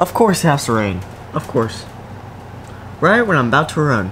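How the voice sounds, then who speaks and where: A man speaks fairly quickly while light background noise carries on. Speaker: fitness vlogger. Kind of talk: casual vlog chat.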